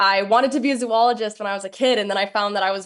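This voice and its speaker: The background is quiet. The speaker has a Minnesotan accent. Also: woman. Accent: Minnesota. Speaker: doctoral student and reality show contestant. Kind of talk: interview.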